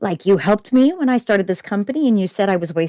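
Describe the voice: The recording captures plain reading aloud.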